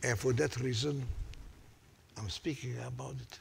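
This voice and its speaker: Somewhat breathy, the voice proceeds at a fairly slow pace. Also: man. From Hungary. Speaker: Holocaust survivor. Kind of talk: unscripted testimony talk to audience.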